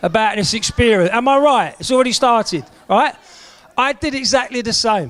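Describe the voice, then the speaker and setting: A man talks with a South London accent and lively intonation. His pace is moderate. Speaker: event MC. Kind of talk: motivational talk to group. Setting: room with live audience. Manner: animated.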